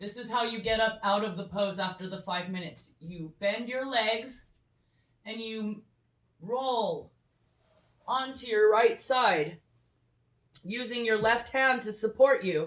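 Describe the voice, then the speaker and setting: A loud woman's voice, fairly high in pitch, at a fairly slow pace with long, frequent pauses. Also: ordinary pitch variation. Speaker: yoga instructor. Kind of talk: tutorial. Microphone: no microphone, camera audio.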